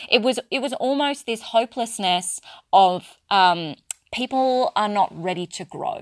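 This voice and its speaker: In a very clean recording with a silent background and a dry, close sound with no echo, a woman with an Australian accent speaks at a fairly slow pace, her fairly high pitch lively in intonation. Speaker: spiritual business coach and podcast host. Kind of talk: solo podcast monologue.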